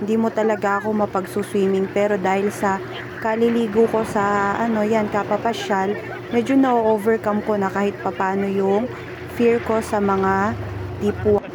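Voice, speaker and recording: Over noticeable background noise, a woman speaks at a moderate pace with a medium pitch. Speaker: family vlogger. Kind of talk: vlog voiceover narration. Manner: casual, chatty.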